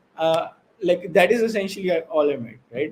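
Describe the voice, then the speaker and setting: A man's high-pitched voice moves along at a moderate pace. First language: not English. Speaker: blockchain project founder. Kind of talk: interview. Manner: halting.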